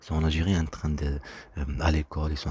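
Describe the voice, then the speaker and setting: A man speaks with a very deep, low pitch in a dark, mellow tone. His delivery is somewhat breathy and monotone, with flat intonation. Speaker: vlogger. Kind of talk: personal monologue. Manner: fast; halting.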